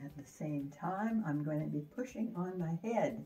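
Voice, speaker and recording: This woman's voice sits very deep and low. Music plays in the background. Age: 80s+. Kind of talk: exercise demonstration talk.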